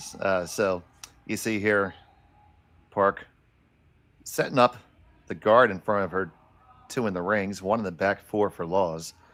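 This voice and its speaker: At a fairly slow pace, a man talks with a Philadelphia accent. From Philadelphia, US. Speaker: curling commentator. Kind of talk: live sports commentary.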